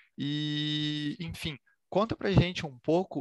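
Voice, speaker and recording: With a Brazilian accent, a man talks at a fairly high pitch in a dry, close sound with no echo. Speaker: spirituality podcast host. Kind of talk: interview conversation.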